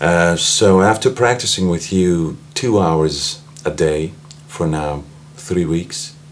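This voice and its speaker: A man talks at a very slow pace in a very deep, low pitch, with ordinary pitch variation. Noticeable background noise runs under his voice. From Austria. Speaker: singer and medical doctor, voice student. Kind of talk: interview.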